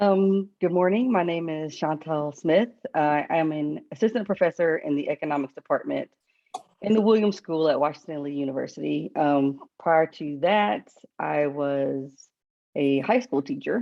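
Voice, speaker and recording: A woman with a very deep, low voice speaks at a moderate pace in a Southern US accent. Her intonation is lively. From US South, the Carolinas. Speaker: economics professor. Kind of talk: panel discussion.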